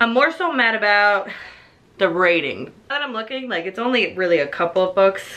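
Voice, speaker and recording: Bright and sharp in tone, a woman of medium pitch talks at a fairly quick pace with lively intonation. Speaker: book reviewer. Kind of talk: casual chat. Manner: casual, filler-heavy.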